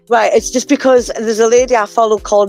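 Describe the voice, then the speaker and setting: A woman's pitch varies in an ordinary way against noticeable noise in the background. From southwest Scotland, New Abbey. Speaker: music show co-host and musician. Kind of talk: casual interview chat.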